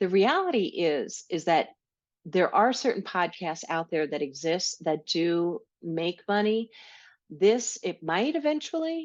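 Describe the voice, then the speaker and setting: At a fairly slow pace, a woman with an American accent and a medium pitch uses lively intonation over a quiet background. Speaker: podcast host, health educator. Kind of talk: solo podcast monologue.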